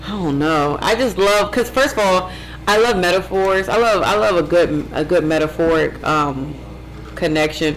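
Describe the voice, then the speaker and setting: Lively intonation marks a woman's speech, heard with audible room echo and noticeable background noise. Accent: American. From Ohio (Warren). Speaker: vegan chef and business owner. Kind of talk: casual interview chat. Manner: fast.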